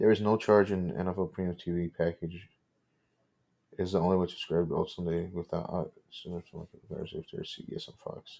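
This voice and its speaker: A man mumbles in a put-on character voice, very deep and low in pitch. He keeps a moderate pace. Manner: mumbling.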